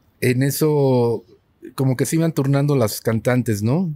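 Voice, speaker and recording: In a very clean recording with a silent background, a man talks at a moderate pace in a dark, mellow tone with ordinary pitch variation. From Mexico City, colonia Roma. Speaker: rock musician. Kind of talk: casual chat. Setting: studio.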